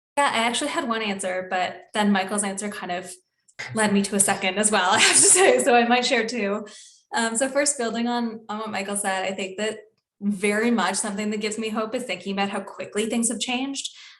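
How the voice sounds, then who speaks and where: A woman talks at a fairly quick pace in a Canadian accent, her pitch fairly high with ordinary variation. Audible room echo surrounds her voice. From Canada, Toronto. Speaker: environmental communications officer. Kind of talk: webinar panel discussion.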